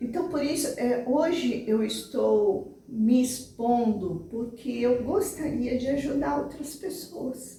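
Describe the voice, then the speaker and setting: Speaking at a very slow pace with hardly any pauses, a woman uses a high pitch and lively intonation. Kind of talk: interview testimony. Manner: halting.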